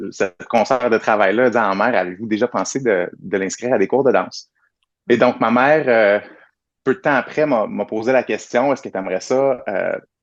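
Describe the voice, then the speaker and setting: A man with a normal speaking voice talks at a moderate pace and medium pitch, with ordinary pitch variation. His loudness swings a lot, against a quiet background. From Quebec, Saint-Jean-sur-Richelieu. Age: 30s. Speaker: dancer and choreographer. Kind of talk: interview conversation. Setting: video call.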